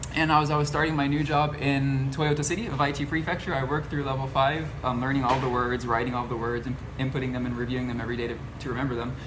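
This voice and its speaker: The speech runs at a very fast pace with fairly even intonation, audible room echo and noticeable background noise. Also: man, medium pitch for a man. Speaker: channel host, former assistant language teacher. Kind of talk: casual interview chat.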